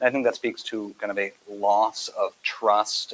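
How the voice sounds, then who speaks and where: A soft-spoken man against noticeable background noise. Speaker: healthcare provider. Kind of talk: panel discussion.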